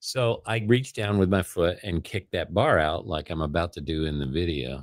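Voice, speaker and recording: A man with an American accent talks at a fairly quick pace in a very deep, low pitch, with vocal fry and lively intonation. The recording is very clean, with a silent background. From Chicago area, Illinois. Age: 60s. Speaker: vlogger. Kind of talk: casual chat. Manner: halting, many restarts.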